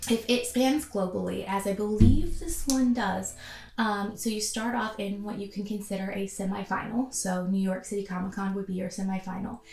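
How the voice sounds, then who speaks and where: With music in the background, a woman talks at a moderate pace and a medium pitch, her intonation fairly even. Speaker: cosplay YouTuber. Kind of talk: casual vlog talk to camera. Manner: casual with many filler ums.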